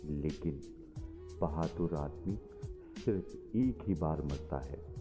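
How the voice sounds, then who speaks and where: Music plays in the background as a man speaks. His pitch is very deep and low, with ordinary variation. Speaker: voice over artist. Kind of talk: motivational quote reading.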